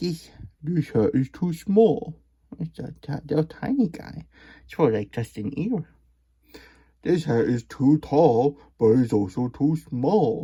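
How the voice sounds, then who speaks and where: A man's put-on character voice, fairly high in pitch, at a fairly slow pace with long, frequent pauses. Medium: read story. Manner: polite, fussy.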